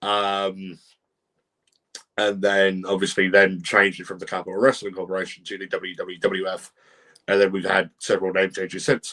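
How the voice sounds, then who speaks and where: With a British accent and a fairly low pitch, a man speaks at a moderate pace in a bright, sharp tone, his intonation monotone and flat but his loudness swinging widely. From Britain. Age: 20s. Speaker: podcast host and wrestling referee. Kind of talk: casual podcast chat, reading viewer comments. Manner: hesitant, many fillers.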